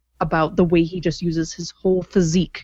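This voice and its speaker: A woman with an unremarkable speaking voice talks at a fairly quick pace and a fairly low pitch. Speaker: podcast co-host. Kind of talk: podcast interview and intro.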